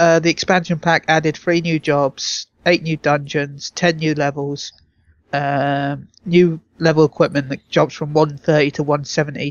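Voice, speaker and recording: A man speaks in a British accent with monotone, flat intonation. His pitch is fairly high and his pace moderate. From Britain. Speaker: podcast co-host. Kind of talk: casual chat.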